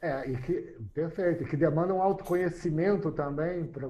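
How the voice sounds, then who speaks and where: Fairly even intonation at a moderate pace, dark and mellow in tone, with audible room echo. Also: man. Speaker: mediator and lecturer. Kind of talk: lecture.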